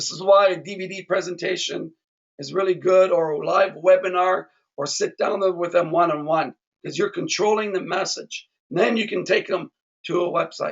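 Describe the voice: Putting on a character voice, a man talks hoarsely in a high register at a moderate pace, his intonation fairly even but his loudness swinging widely.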